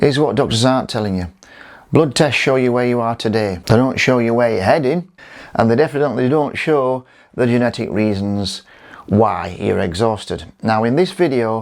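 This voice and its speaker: In an ordinary speaking voice, a man talks at a moderate pace with medium pitch and ordinary pitch variation. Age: 60s. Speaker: physical therapist and nutritionist. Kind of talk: educational talk to camera.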